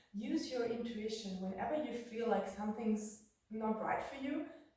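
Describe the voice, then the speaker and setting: At a moderate pace, a woman talks in a fairly high voice, with audible room echo and noticeable background noise. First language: not English. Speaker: yoga teacher. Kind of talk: yoga class instruction.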